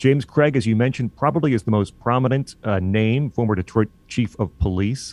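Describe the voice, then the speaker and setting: At a fairly quick pace, an unremarkable speaking voice with an American accent holds very even loudness and ordinary pitch variation, recorded dry and close with no echo against a quiet background. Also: man, medium pitch for a man. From Illinois. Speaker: college radio station manager and podcast host. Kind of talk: casual political talk show discussion.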